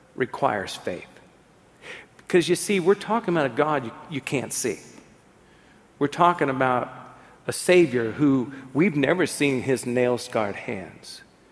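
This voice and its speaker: Speaking at a moderate pace with a medium pitch, a man uses lively intonation and leaves long, frequent pauses. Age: 50s. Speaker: pastor. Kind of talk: sermon.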